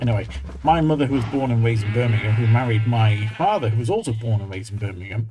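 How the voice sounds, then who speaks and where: A man's voice sounds dark, mellow and somewhat breathy. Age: 40s. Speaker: gaming video creator. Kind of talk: casual gameplay commentary.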